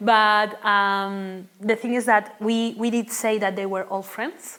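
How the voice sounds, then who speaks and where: A woman with a Spanish accent speaks very slowly in a fairly high pitch. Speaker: linguistics researcher. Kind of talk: academic talk Q&A. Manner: halting, many fillers.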